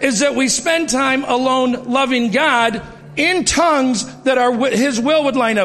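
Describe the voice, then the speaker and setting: Rather slow delivery amid noticeable background noise and audible room echo. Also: man. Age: 50s. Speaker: church member giving testimony. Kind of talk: testimony. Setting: church.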